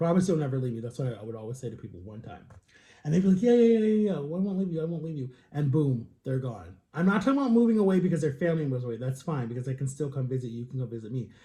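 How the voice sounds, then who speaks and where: Somewhat breathy speech races along at a very fast pace, with very wide pitch swings and big swings in loudness. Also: man, fairly high pitch for a man. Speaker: vlogger. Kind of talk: casual vlog monologue.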